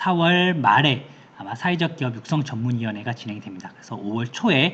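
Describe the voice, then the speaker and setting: The pace of this man's speech is fairly quick. Ordinary pitch variation runs through it. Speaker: certification consultant presenting info session. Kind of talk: online information session presentation. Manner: fast.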